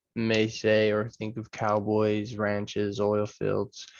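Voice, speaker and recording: Against a quiet background, a man speaks at a fairly slow pace with an American accent. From Texas. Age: 20s. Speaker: university student. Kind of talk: class introduction video. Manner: halting, many fillers.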